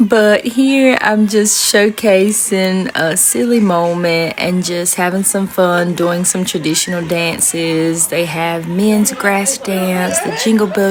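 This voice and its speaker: Against noticeable background noise, a woman with a Southern accent speaks at a very slow pace with hardly any pauses, in a medium pitch with ordinary pitch variation. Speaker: podcast host. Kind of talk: vlog narration. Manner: casual, upbeat.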